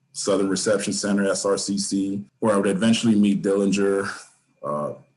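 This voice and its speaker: There is audible room echo as a man speaks fairly quickly at a fairly low pitch with fairly even intonation. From Oceanside, California (San Diego County). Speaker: former prisoner. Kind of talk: interview.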